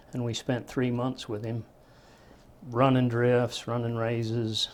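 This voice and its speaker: This man talks with a rural western American accent. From Utah, Park City. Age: 50s. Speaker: retired miner. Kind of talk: oral history interview. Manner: plain-spoken, halting with fillers.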